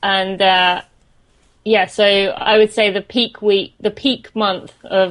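A woman with a British accent speaks in a monotone, flat intonation. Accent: British English with some American words. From St Albans, England. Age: 20s. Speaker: runner and podcast host. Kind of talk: casual interview chat.

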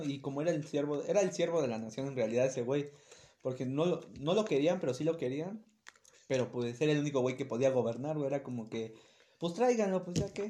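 A man's fairly high voice with a dark, mellow tone, lively intonation, and a very fast pace. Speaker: podcast co-host. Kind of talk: casual chat.

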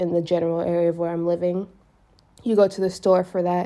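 A woman's fairly low, dark, mellow voice, monotone and flat, with an American accent. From United States. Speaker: podcaster. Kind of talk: casual monologue.

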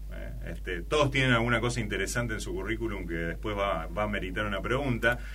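Hardly pausing at all, a man talks at a very fast pace over noticeable background noise. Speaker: podcast host. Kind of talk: casual interview. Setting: studio, in person.

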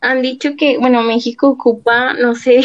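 A woman speaks with a Mexican accent at a fairly high pitch. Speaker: podcast co-host. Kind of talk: casual interview.

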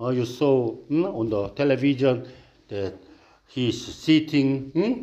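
Very slowly, a man speaks with a Korean accent in a dark, mellow tone. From South Korea. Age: 60s. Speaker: pastor. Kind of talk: sermon. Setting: church. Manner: halting.

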